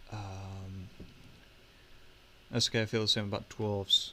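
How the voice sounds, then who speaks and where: Very slow speech from a man, fairly low in pitch, with a bright, sharp tone and monotone, flat intonation. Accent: British. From Britain. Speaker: miniature painting livestreamer. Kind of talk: casual livestream chat while painting. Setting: live stream with webcam. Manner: hesitant, filler-heavy.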